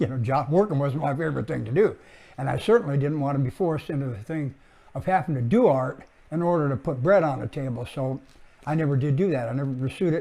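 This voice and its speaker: Very fast speech comes from a man with a fairly high pitch. His tone is dark and mellow. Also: ordinary pitch variation. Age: 70s. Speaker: artist and art teacher. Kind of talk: casual introductory talk. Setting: home studio. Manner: halting, many fillers.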